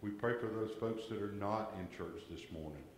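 At a fairly low pitch, a man with an American accent speaks at a moderate pace with ordinary pitch variation, with audible room echo and light background noise. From US South. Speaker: lay worship leader. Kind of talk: church announcements and prayer. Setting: church. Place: church. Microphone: camera far.

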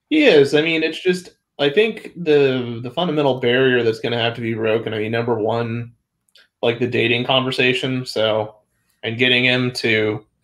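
A man's fairly even intonation and moderate pace stand out against a quiet background. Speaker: science discussion panelist; panelist. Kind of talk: casual science discussion. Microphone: video call.

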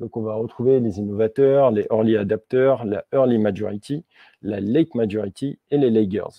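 Against a quiet background, a man speaks at a moderate pace with fairly even intonation, the sound dry with no echo. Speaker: software developer; conference speaker. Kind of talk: tech talk. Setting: stage with audience. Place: meeting room.

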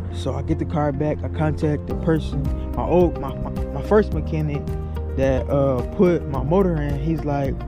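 A man at a moderate pace, dry with no echo, with clear music in the background. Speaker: car owner vlogger. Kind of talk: casual vlog chat. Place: street. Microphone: phone near.

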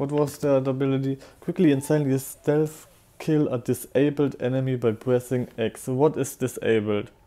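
A man with a German accent, medium pitch, fairly even intonation, moderate pace and a dark, mellow tone. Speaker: streamer. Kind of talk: casual gameplay commentary.

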